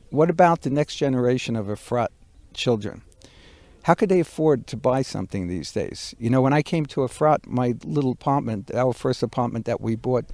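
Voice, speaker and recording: A man's plain, everyday voice, medium in pitch, fairly quick, with lively intonation and a dry, close sound with no echo on a very clean recording, silent background. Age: 60s. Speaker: builder. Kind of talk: casual interview conversation. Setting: outdoors in a backyard.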